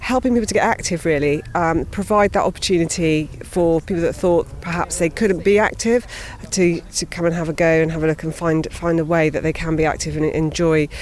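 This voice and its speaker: With noticeable background noise behind her, a woman talks at a fairly quick pace in a fairly low pitch, using ordinary pitch variation and hardly any pauses. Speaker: cycling charity worker. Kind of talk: interview answer. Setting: outdoors.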